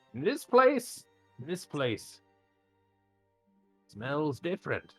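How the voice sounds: In a put-on character voice at middle pitch, the speaker goes at a very slow pace with very wide pitch swings, faint music in the background.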